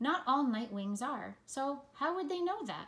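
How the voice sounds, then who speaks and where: A woman uses a put-on character voice at a high pitch. She keeps a moderate pace. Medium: read story. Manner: soft, curious.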